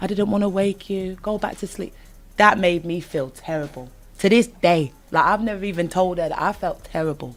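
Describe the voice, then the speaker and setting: In a British accent, a woman speaks at a moderate pace and medium pitch, her tone animated and her pitch variation ordinary. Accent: British, non-American. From northern England (Leeds, Yorkshire). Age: 20s. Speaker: singer-songwriter. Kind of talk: casual chat.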